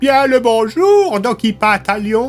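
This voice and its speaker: Putting on a character voice, a man speaks at an extremely high pitch with ordinary pitch variation while faint music plays in the background. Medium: read story.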